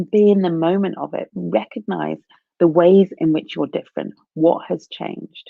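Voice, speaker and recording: Here a woman is speaking. She keeps a moderate pace. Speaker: career coach. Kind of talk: live stream talk. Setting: live video stream. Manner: halting. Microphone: poor internet connection.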